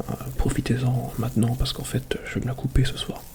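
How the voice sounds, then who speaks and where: A man whispers at a moderate pace while noticeable background noise carries on around him. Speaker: ASMR YouTuber. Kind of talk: ASMR soft spoken talk to camera. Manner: soft-spoken.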